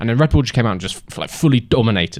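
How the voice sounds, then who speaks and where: The speaker has a British accent, and the background is quiet. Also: man. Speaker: F1 commentary YouTuber. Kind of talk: casual solo podcast monologue. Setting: sitting in a camping chair on a staircase. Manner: casual with frequent fillers.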